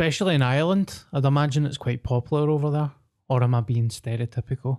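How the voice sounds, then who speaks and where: A man's medium-pitched voice in a Scottish accent, dark and mellow in tone, with ordinary pitch variation and a very fast pace. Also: dry, close sound with no echo. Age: 30s. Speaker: podcast co-host. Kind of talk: casual chat.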